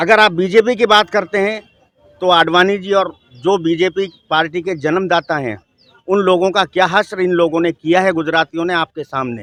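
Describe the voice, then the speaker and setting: This man has a high pitch with ordinary pitch variation. The sound is dry and close, with no echo. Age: 60s. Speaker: member of the public interviewed on the street. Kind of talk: street interview opinion. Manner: animated.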